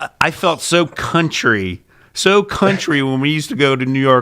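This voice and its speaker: With a strong Pittsburgh accent, a man talks at a moderate pace in a fairly high pitch, bright and sharp in tone, with ordinary pitch variation. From Pittsburgh, US. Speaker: podcast co-host, TV show host. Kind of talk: casual chat. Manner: animated.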